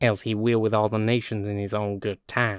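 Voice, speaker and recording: A man puts on a nasal character voice, fairly low in pitch and monotone in intonation, speaking at a moderate pace on a very clean recording with a silent background. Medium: read story.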